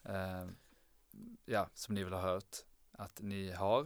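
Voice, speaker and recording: The man speaks with a fairly low pitch. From southern Sweden (Lund, Skåne). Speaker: medical student. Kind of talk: casual chat.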